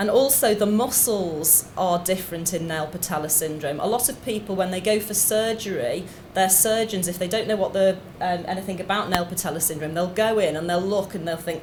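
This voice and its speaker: A woman in a Liverpool accent talks at a fairly quick pace with hardly any pauses, medium pitch and ordinary pitch variation, amid audible room echo and noticeable background noise. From Liverpool, England. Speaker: doctor, clinical geneticist. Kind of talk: lecture. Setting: conference stage with audience.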